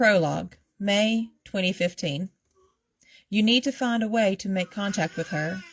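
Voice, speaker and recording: A woman talks at a fairly slow pace in a medium, somewhat breathy voice with ordinary pitch variation. The recording is very clean, with a silent background. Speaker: author. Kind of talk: reading aloud. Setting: livestream video.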